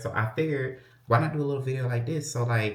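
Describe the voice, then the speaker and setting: A man talks in an animated tone with a somewhat breathy quality. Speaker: lifestyle vlogger. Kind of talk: casual vlog chat. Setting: at home, closet.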